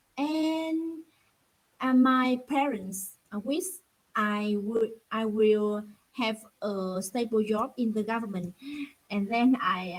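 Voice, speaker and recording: At a very slow pace, a woman with a fairly high pitch sounds somewhat breathy and uses ordinary pitch variation. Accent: Vietnamese. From Vietnam. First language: Vietnamese. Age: 30s. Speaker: English learner, government employee. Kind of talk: online English conversation practice. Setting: video call. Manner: halting, many fillers.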